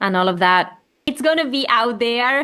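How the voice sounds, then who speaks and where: A woman with an Argentine accent at a fairly high pitch. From Argentina. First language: Spanish. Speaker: children's music creator. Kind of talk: interview conversation.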